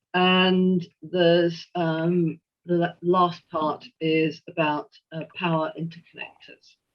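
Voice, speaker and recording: Speaking very slowly with a strong English accent, a woman uses a fairly low pitch and a monotone, flat intonation. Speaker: historian and retired engineer. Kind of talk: lecture. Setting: video call. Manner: hesitant, many fillers.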